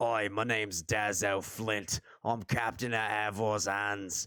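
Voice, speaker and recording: A man puts on a raspy character voice, fairly low in pitch and monotone, with flat intonation. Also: fairly slow pace. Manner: funny.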